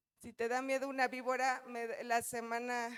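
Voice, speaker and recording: The recording has a dry, close sound with no echo. A woman speaks at a fairly high pitch. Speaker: pastor. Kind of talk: sermon. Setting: church. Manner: animated.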